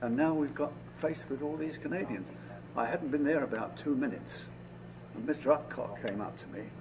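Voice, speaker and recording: Here a man speaks at a fairly quick pace in a medium pitch. Vocal fry runs through his voice. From London, England. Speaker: war veteran. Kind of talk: oral history interview. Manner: halting, with repetitions.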